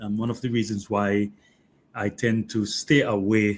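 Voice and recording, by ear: A man speaks with a fairly low pitch. His tone is fairly bright.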